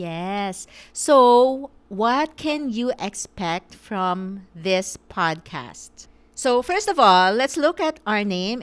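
A woman at a very slow pace, her pitch swinging very widely, on a very clean recording with a silent background. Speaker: podcast co-host, lawyer and small business owner. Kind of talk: casual chat.

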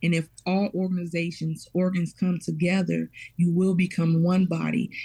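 A woman with a dark, mellow, somewhat breathy voice speaks at a fairly low pitch in a monotone, flat intonation with very even loudness. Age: 30s. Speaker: parish parent coordinator. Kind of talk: radio interview.

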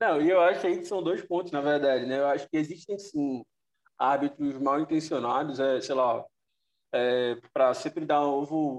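In a dry, close sound with no echo, a man with a normal speaking voice talks at a moderate pace, his fairly high pitch carrying fairly even intonation. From Northeast Brazil. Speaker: football columnist. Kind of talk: casual chat.

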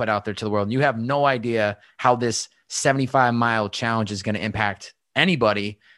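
Over a quiet background, a man with an American accent uses a normal speaking voice at a medium pitch, moving at a moderate pace with fairly even intonation. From Western Massachusetts. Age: 20s. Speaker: podcast host. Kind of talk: interview.

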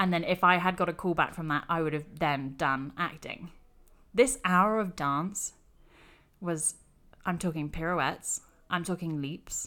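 Recorded very cleanly against a silent background, a woman with a fairly low pitch and a bright, sharp tone speaks at a fairly slow pace with ordinary pitch variation and long, frequent pauses. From England. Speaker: actor. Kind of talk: casual chat.

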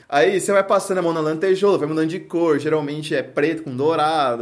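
This man has an ordinary speaking voice, pitched fairly high, with ordinary pitch variation and a fairly quick pace. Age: 20s. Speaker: podcast host. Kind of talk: casual chat.

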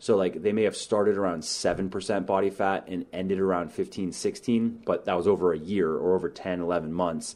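Fairly even intonation runs through speech delivered at a fairly quick pace. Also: man, very deep, low pitch for a man. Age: 30s. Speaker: fitness author and podcast host. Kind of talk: solo podcast monologue. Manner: casual, many fillers and repetitions.

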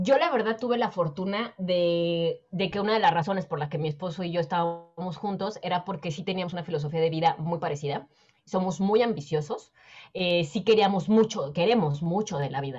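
At a fairly quick pace, a woman with fairly low pitch and ordinary pitch variation talks in a plain, everyday voice. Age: 30s. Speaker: personal finance educator. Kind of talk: interview.

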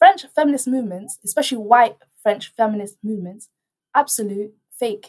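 A woman with a London accent speaks at a moderate pace. Her pitch is fairly high, with ordinary pitch variation. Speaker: student radio host. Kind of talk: casual chat. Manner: animated.

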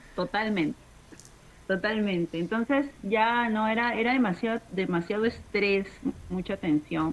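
A woman's normal speaking voice, fairly slow, with ordinary pitch variation. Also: medium pitch for a woman. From Peru, Lima. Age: 30s. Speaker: stand-up comedian and show producer. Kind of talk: casual chat. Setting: home terrace, video call.

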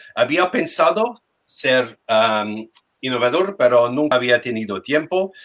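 Speaking very slowly with a non-native accent, a man uses a medium pitch and lively intonation. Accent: foreign accent in Spanish. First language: English (speaking Spanish). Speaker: language teacher. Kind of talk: testimony. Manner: hesitant. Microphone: sound problems.

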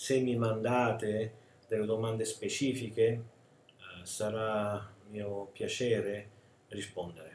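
A man with a medium-pitched, somewhat breathy voice speaks very slowly in a flat monotone, leaving long, frequent pauses. His loudness swings widely, and the room echo is audible. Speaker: spiritual teacher. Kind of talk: recorded video talk. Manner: hesitant, many filler sounds.

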